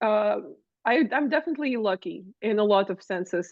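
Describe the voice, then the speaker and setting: A woman speaks with a non-native accent. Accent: foreign. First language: Russian. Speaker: wrestling commentator and manager. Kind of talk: interview.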